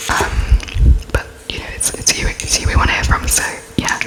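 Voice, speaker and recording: The speaker whispers in a British accent. Background noise is noticeable. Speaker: ASMR creator. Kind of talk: ASMR roleplay interview, whispered and close-up.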